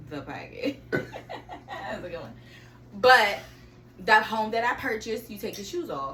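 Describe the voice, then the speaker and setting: A woman's fairly high voice with very wide pitch swings, big shifts in loudness, long and frequent pauses, and noticeable noise behind it. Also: moderate pace. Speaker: podcast co-host. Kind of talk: casual chat.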